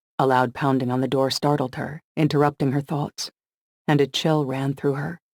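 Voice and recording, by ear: The background stays quiet. Someone is reading aloud in a natural voice.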